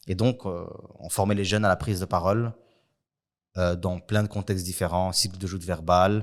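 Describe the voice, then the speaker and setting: On a very clean recording with a silent background, a man talks with a very deep, low pitch and fairly even intonation. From Brussels, Belgium (Saint-Gilles). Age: 20s. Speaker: youth worker and political candidate. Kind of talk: interview.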